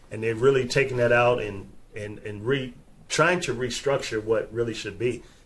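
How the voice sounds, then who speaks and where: This man talks at a moderate pace in a medium, somewhat breathy voice, with ordinary pitch variation and big swings in loudness. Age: 50s. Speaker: podcast host. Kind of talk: casual chat. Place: studio. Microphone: studio mic.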